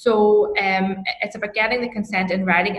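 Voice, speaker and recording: At a fairly quick pace, a woman with a Northern Irish accent speaks at a medium pitch with monotone, flat intonation. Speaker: HR consultant and lecturer. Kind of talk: interview.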